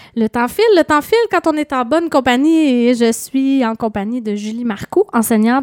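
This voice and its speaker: A woman with a Quebec accent, a dark, mellow tone, ordinary pitch variation and a moderate pace, in a dry, close sound with no echo. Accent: Québécois French. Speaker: radio host. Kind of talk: radio interview. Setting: studio.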